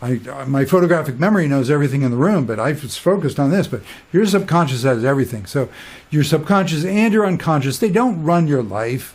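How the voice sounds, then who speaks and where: Somewhat breathy and fairly high-pitched, a man talks at a very fast pace with lively intonation. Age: 60s. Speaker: spiritual teacher. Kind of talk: casual monologue. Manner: animated; halting.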